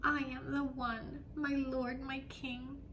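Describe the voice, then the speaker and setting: At a very slow pace, a put-on character voice that sounds female and high-pitched plays out over clear background noise. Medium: read story. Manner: pleading, flattering.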